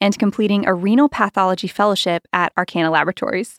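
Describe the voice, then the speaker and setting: Very fast speech in a very clean recording with a silent background, dry and close with no echo. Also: woman. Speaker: podcast host, communications director. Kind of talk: casual interview.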